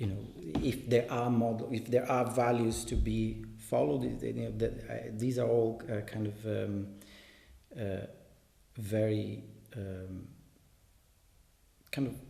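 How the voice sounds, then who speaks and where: A man in a Portuguese accent at a fairly slow pace, long, frequent pauses, audible room echo. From Brazil. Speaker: translator and reader. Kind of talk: commented reading aloud. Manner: halting, many fillers and repetitions.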